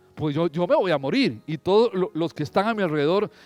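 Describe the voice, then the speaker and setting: A man speaks fairly quickly in a high voice with lively intonation. The recording is very clean, with a silent background. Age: 60s. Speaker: pastor. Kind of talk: sermon. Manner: animated.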